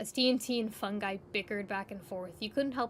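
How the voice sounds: A woman talks at a fairly quick pace. Her pitch is medium, with ordinary pitch variation.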